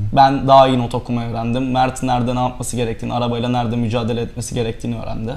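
The speaker goes at a very fast pace with hardly any pauses. Intonation stays monotone and flat. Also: man. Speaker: rally co-driver. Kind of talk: interview. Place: studio.

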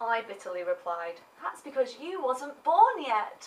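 The speaker is a woman with an English accent. She talks at a moderate pace. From England. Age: 20s. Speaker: vlogger. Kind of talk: comedic monologue. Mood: sarcastic, playful complaining. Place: home room. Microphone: webcam.

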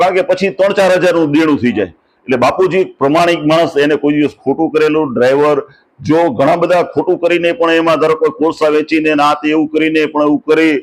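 In a normal speaking voice, a man talks at a fairly high pitch. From Gujarat, Saurashtra (Dhrangadhra, raised in Wankaner). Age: 60s. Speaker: wildlife and culture photographer. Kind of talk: interview, life story.

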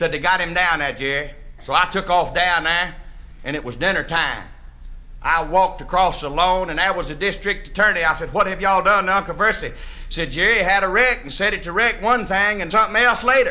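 Raised and projected, a man's voice comes through with a bright, sharp tone, ordinary pitch variation and a fairly quick pace. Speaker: storyteller comedian. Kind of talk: comic storytelling monologue. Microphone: old recording.

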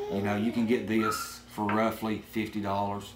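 Against light background noise, a man talks at a fairly low pitch. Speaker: drone hobbyist; product reviewer. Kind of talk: product review talk to camera. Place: home room. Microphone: camera far.

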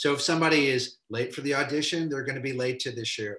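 Over a quiet background with audible room echo, a man speaks very fast at a fairly high pitch. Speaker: film professor and filmmaker; film professor. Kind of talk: casual chat. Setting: video call. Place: home room. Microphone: video call.

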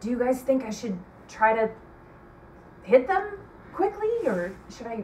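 At a slow pace, a woman speaks with big pitch swings. Her pitch is fairly high.

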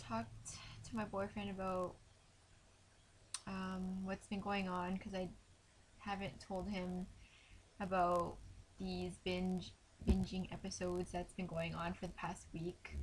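Somewhat breathy and fairly slow, a woman talks with fairly even intonation and long, frequent pauses over light background noise. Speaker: vlogger. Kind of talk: casual vlog chat. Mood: subdued, emotional, reflective. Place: home room. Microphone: webcam.

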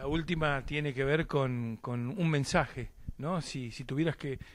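With an Argentine accent, a man talks in a fairly high pitch with ordinary pitch variation. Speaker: sports interviewer. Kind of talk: interview. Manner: hesitant, many fillers.

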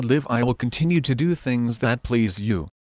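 An ordinary speaking voice from a man at a moderate pace with ordinary pitch variation, dry and close with no echo against a quiet background. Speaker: prayer leader. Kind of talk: fervent guided prayer, earnest devotional address to God. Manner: earnest, heartfelt, reverent.

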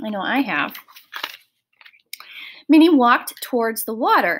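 A woman talks at a fairly slow pace in a fairly bright tone.

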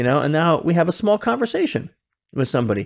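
A man talks at a very fast pace, his pitch swinging very widely. The background is quiet. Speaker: podcast guest. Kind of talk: interview answer. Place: home room.

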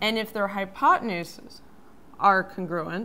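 The tone is bright and sharp, the intonation monotone and flat, and the pace fairly slow. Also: woman. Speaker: math educator. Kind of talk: tutorial. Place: studio.

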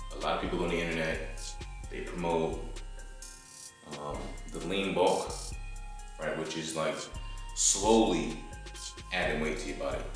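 Amid strong room echo and clear music in the background, a man speaks at a moderate pace. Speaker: fitness vlogger. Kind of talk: casual vlog chat. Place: garage. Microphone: camera far.

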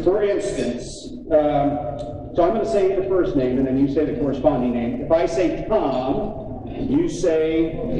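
Lively intonation comes through over noticeable background noise and audible room echo. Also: man. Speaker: event emcee. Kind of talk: awards presentation speech. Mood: warm, admiring. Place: hall. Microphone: podium.

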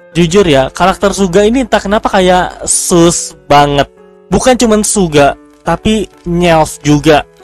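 The speech moves at a fairly slow pace in a dry setting with no echo, with faint music in the background. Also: man. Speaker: reaction video creator. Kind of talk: casual review commentary. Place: home room. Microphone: headset.

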